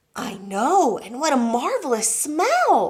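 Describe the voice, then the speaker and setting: Putting on a character voice, a woman speaks at a fairly slow pace in a high pitch with very wide pitch swings. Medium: read story. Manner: gentle, warm.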